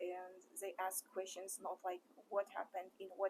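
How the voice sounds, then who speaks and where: A woman with a mid-range pitch talks fairly slowly. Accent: Kazakh. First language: Kazakh. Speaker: interviewer. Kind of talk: interview.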